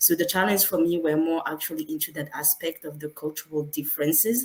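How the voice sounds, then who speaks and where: Noticeable background noise under a woman speaking fairly quickly, her pitch very deep and low. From France. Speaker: engineer. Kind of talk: panel discussion. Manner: halting.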